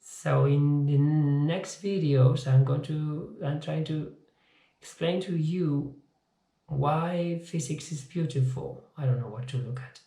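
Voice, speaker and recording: With a non-native accent, a man speaks very slowly in a dark, mellow, somewhat breathy tone at a fairly high pitch, with audible room echo. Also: fairly even intonation. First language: not English. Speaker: physics teacher. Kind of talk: informal video lecture. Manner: halting, repeats words.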